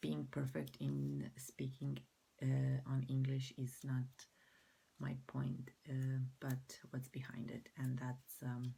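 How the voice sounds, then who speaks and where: A woman with a Croatian accent speaks very slowly in a very deep, low pitch, with monotone, flat intonation and long, frequent pauses. Her tone is dark, mellow and somewhat breathy. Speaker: mental health vlogger. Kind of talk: personal vlog. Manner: halting.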